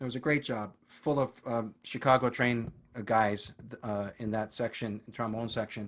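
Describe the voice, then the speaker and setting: In a normal speaking voice, a man talks at medium pitch and a moderate pace with fairly even intonation, recorded very cleanly against a silent background. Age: 60s. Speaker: retired orchestral trombonist and teacher. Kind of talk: interview.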